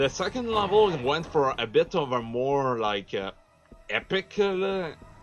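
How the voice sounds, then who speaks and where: With music in the background, a man speaks very slowly at a fairly high pitch, his intonation lively. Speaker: gaming video commentator. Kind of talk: let's play commentary. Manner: halting, many fillers.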